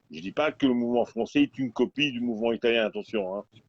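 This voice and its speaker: The speaker is a man with a medium pitch. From Belgium. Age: 60s. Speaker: protest movement participant. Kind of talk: casual chat. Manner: halting.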